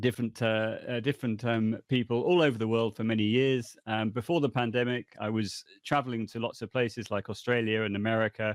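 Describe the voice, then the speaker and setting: Speaking with a British accent, a man at medium pitch goes at a fairly quick pace with hardly any pauses and fairly even intonation. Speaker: language education consultant. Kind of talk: podcast interview.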